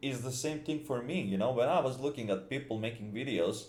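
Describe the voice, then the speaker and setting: A man with a Serbian accent speaks at a medium pitch with ordinary pitch variation. Room echo is audible. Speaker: gaming YouTuber. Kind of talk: casual video commentary. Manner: halting, many fillers and repetitions.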